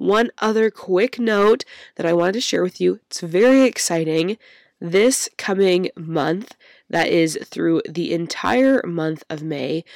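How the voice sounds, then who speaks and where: A woman with a medium pitch talks at a very slow pace, her intonation lively. The sound is dry and close with no echo, in a very clean recording with a silent background. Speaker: podcast host. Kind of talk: solo podcast episode.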